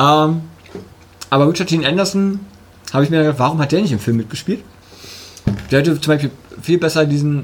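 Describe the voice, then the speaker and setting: Over noticeable background noise, a man with a fairly high voice and ordinary pitch variation talks fairly quickly, broken up by long, frequent pauses. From eastern Germany. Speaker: podcast co-host. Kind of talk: casual chat. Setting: studio.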